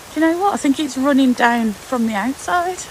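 Her pitch high, a woman talks at a moderate pace with lively intonation over faint background noise.

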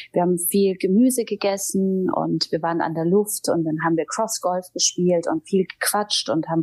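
A woman with a normal speaking voice talks at a medium pitch and moderate pace, with ordinary pitch variation. She leaves hardly any pauses, and the background is quiet. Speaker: TV presenter and audiobook narrator. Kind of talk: interview answer.

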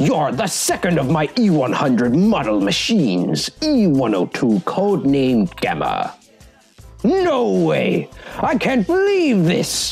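A put-on character voice at a middle pitch. Faint music plays in the background. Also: fairly slow pace. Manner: theatrical, villainous.

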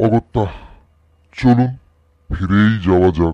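This is a man doing a put-on character voice. His pitch sits fairly low.

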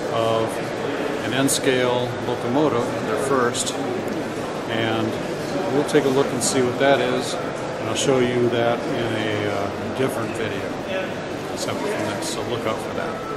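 Loud background noise sits behind a man speaking at a fairly slow pace. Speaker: hobby vlogger. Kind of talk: casual vlog chat. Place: hall. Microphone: phone near.

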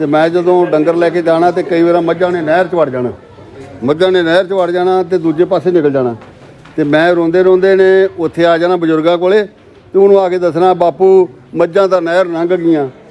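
Fairly even intonation from a man with a high-pitched voice. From Punjab, India (Sikh family whose parents came from a village now in Pakistan). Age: 70s. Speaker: elderly Sikh visitor returning to his parents' ancestral village. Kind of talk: casual talk to camera, reminiscing about family history. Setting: outdoors in a village. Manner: emotional, nostalgic. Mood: nostalgic, warm reminiscing. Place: street.

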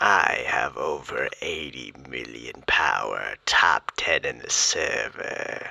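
A man delivers a put-on character voice at a very slow pace. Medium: role play.

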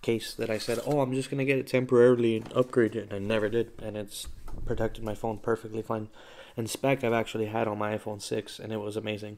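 A man speaks at a very fast pace with monotone, flat intonation. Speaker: vlogger. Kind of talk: casual vlog chat. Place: home room. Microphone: phone near.

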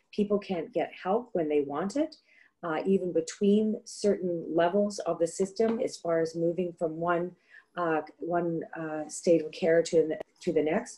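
Against a quiet background, a woman speaks at a fairly slow pace in a fairly low pitch, her tone dark and mellow, with ordinary pitch variation. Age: middle-aged. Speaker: political candidate; candidate. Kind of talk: debate statements. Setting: video call. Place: home room. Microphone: webcam.

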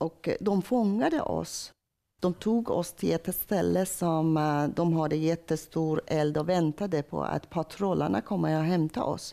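A woman with a Persian accent, fairly low and dark, mellow in tone, at a fairly slow pace over a quiet background. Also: ordinary pitch variation, very even loudness. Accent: Persian accent in Swedish. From Iran. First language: Persian (speaking Swedish). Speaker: church member telling conversion story; interviewee. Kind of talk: testimony; interview answer. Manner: halting, with many hesitations. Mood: emotional personal testimony. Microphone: lapel.

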